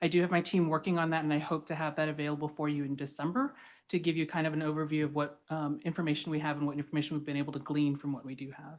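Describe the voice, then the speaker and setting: The delivery is very fast, with hardly any pauses and monotone, flat intonation. The background is quiet. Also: woman, very deep, low pitch for a woman. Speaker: government staff presenter. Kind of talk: staff report at public meeting.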